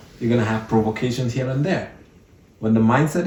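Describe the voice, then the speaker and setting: A man speaks with an African accent at medium pitch. His voice is somewhat breathy, with ordinary pitch variation. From Cameroon. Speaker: entrepreneur. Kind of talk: podcast interview.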